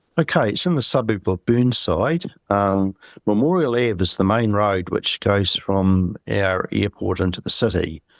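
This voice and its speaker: With a New Zealand accent, a man speaks at a fairly low pitch and fairly slow pace with ordinary pitch variation, on a very clean, silent-background recording with a dry, close sound and no echo. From New Zealand, Christchurch. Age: 60s. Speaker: UFO eyewitness. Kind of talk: interview.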